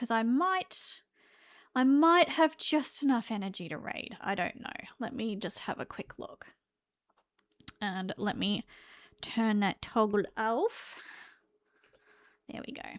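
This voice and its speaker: The speaker has an Australian accent and a very slow pace, with long, frequent pauses. The pitch swings very widely. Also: woman, fairly high pitch for a woman. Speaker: vtuber streamer. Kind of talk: casual live stream chat. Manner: casual, halting with fillers.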